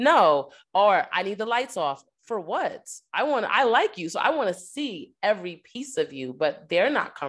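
Very clean and silent in the background, the recording has a woman using vocal fry with very wide pitch swings. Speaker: podcast co-host. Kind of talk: casual chat.

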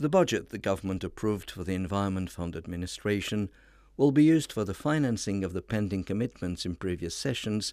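A man talks at a fairly quick pace with a fairly low pitch and a dark, mellow tone. His pitch varies in an ordinary way, and the recording is very clean with a silent background. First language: Romanian. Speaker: radio host. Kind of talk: scripted narration. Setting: studio.

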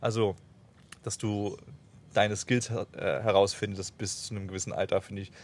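A man's fairly low-pitched, monotone, flat delivery at a moderate pace, broken by long, frequent pauses. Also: big swings in loudness. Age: 20s. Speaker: travel podcast host. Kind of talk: casual chat.

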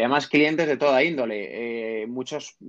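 Medium in pitch, a man's voice is a plain, everyday voice. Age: 30s. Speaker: entrepreneur and investor. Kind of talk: interview.

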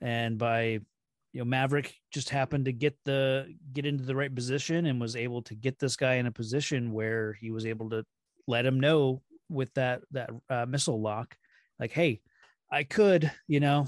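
This man has a plain, everyday voice at a medium pitch, with fairly even intonation and a moderate pace. The sound is dry and close with no echo. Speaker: podcast guest co-host. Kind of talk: casual chat.

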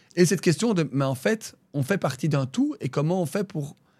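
In a somewhat breathy voice, this man keeps up a fairly quick pace. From Brussels, Belgium. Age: 30s. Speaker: regional politician. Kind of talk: interview. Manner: halting, many fillers.

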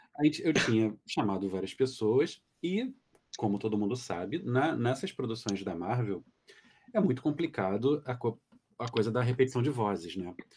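Medium-pitched male voice with ordinary pitch variation, at a moderate pace. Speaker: dubbing director. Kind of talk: casual chat. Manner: calm.

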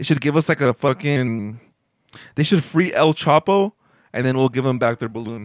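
Recorded very cleanly with a silent background and a dry, close sound with no echo, a man speaks in an animated tone at a medium pitch, with ordinary pitch variation and a moderate pace. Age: 20s. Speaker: podcast host. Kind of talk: casual chat. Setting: home bedroom.

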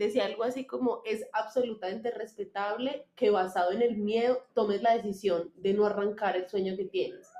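A woman has a normal speaking voice with a fairly high pitch and ordinary pitch variation. She keeps a moderate pace with hardly any pauses. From Colombia, Manizales. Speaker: clothing designer, former lawyer. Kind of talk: casual interview chat.

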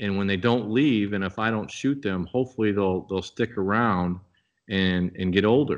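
With a Midwestern US accent, a man talks at a fairly slow pace and fairly low pitch with ordinary pitch variation against a quiet background. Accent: US Midwest. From Nebraska. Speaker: outdoor products company member and bowhunter. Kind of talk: podcast interview.

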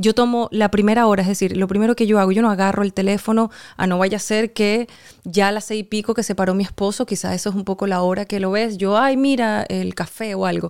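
A woman at a very fast pace and medium pitch, with fairly even intonation, on a very clean recording with a silent background. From Venezuela. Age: young. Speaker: actress and writer. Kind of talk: casual interview.

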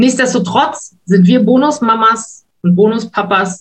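The speaker's somewhat breathy voice moves at a fairly slow pace with ordinary pitch variation. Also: woman. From western Germany (Wuppertal). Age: 50s. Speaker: stepmother sharing her story. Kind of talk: interview, personal story.

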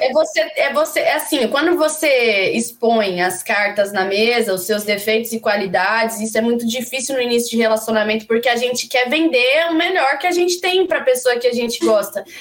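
Through noticeable background noise, a woman with a high pitch and lively intonation speaks at very even loudness with hardly any pauses. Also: moderate pace. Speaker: singer-songwriter. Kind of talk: casual chat. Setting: studio. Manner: animated.

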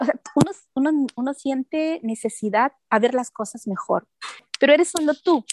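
Recorded dry and close with no echo, a woman speaks at a moderate pace in a high voice with ordinary pitch variation. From Peru. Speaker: life coach and event producer. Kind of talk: radio interview.

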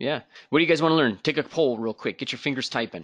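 A man with an American accent and a bright, sharp tone, lively intonation, and a quiet background. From United States. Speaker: podcast host and art school head. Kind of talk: live-streamed interview and software demo. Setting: live stream with online audience.

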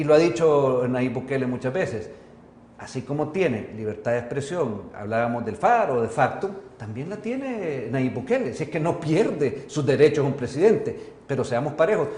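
Lively intonation from a man with a fairly high pitch at a moderate pace, amid audible room echo and noticeable background noise. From El Salvador. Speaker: journalist and TV host. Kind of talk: interview. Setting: studio.

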